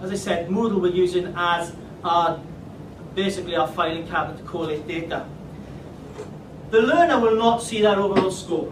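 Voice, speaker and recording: Amid audible room echo and noticeable background noise, a man with a high pitch talks at a moderate pace with fairly even intonation and long, frequent pauses. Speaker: teacher. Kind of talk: presentation.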